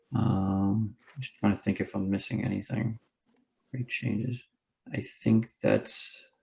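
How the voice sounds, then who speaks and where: A man talks with a fairly low pitch and ordinary pitch variation. His tone is dark and mellow, and somewhat breathy. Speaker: architect presenting plans. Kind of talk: project presentation. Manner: fast.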